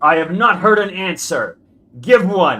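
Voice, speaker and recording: Putting on a character voice, a man projects at a high pitch in a raised voice and speaks at a fairly slow pace. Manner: commanding.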